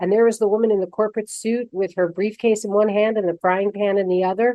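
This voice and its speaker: Using a plain, everyday voice, a woman talks at a fairly quick pace and medium pitch with ordinary pitch variation. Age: 60s. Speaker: radio show host. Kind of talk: radio interview.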